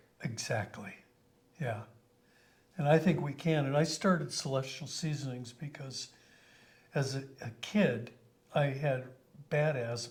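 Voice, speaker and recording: A somewhat breathy man with an American accent, fairly high in pitch with ordinary variation, at a fairly slow pace with long, frequent pauses. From Colorado, US. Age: 70s. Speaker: company founder. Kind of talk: interview.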